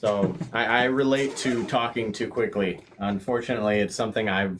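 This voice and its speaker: Against noticeable background noise, a man talks at a medium pitch with ordinary variation, very even loudness and hardly any pauses. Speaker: paranormal channel host. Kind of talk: interview chat. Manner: fast.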